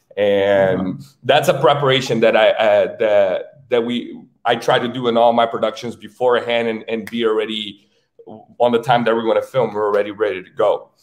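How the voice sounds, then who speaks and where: At a moderate pace, a man talks with a Brazilian accent. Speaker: filmmaker. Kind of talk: interview answer.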